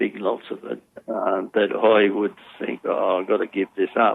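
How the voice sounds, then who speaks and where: A man with an Australian accent, at a moderate pace. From Australia, Sydney. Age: 80s+. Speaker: former problem gambler, community educator. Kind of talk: interview testimony. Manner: halting.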